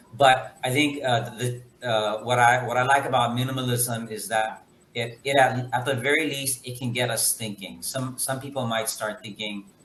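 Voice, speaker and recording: In an American accent, a man of medium pitch speaks at a moderate pace with fairly even intonation. Noticeable background noise is present. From United States, Guatemalan family. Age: 40s. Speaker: guest on a talk show. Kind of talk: casual chat. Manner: halting.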